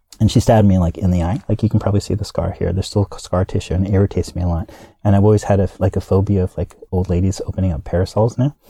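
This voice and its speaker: A man talks at a very fast pace with hardly any pauses, his fairly low, dark, mellow voice somewhat breathy and his intonation fairly even. The sound is dry and close with no echo, a very clean recording with a silent background. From US, military family (Kansas, Hawaii). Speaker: actor and comedy performer. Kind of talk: interview. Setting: studio.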